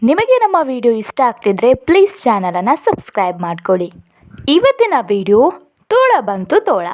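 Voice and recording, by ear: A woman talks at a moderate pace with very wide pitch swings. Her tone is slightly mellow. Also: fairly high pitch for a woman.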